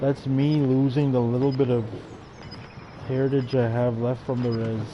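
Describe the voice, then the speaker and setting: Amid noticeable background noise and audible room echo, a man speaks with monotone, flat intonation. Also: medium pitch for a man, moderate pace. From Canada, First Nations reserve. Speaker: gaming live streamer. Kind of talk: casual live-stream chat.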